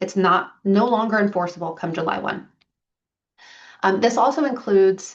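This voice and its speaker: A woman with an ordinary speaking voice talks at a medium pitch and a moderate pace. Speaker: property manager presenting to landlords. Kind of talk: business presentation to clients.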